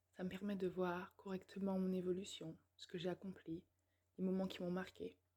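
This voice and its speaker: A woman speaks at medium pitch in a dark, mellow, somewhat breathy voice with monotone, flat intonation. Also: moderate pace. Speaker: YouTuber, personal development. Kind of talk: personal vlog monologue. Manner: hesitant, many fillers.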